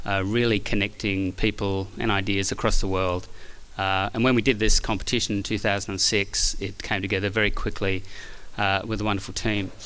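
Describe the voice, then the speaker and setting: In an Australian accent, a man speaks at a fairly quick pace and fairly low pitch, with a bright, sharp tone and monotone, flat intonation. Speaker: architect. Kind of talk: acceptance speech.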